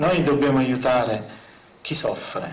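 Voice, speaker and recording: Noticeable background noise and audible room echo surround a man's voice. He has a medium pitch and a fairly slow pace. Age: old. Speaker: spiritual speaker on UFOs. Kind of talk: conference talk. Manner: impassioned.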